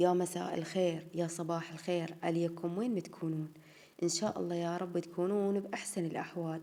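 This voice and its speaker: In an Iraqi accent, a woman speaks at a moderate pace and fairly low pitch. Her intonation is monotone and flat. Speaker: home vlogger. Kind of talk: casual vlog chat.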